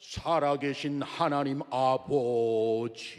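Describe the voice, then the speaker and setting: In a put-on character voice, a man at medium pitch speaks with a solemn tone at a very slow pace. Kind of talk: formal prayer voice. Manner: solemn, weighty, self-important.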